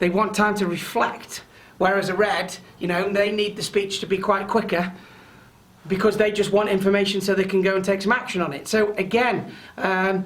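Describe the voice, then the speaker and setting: The pace of speech is fairly quick. Background noise is noticeable. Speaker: presentation skills trainer. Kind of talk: webinar training session. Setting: online webinar. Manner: loud.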